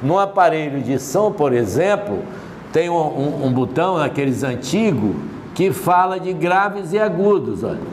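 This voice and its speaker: A man with a high-pitched voice and lively intonation talks at a fairly slow pace, with audible room echo and noticeable background noise. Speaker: physics teacher. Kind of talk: lecture.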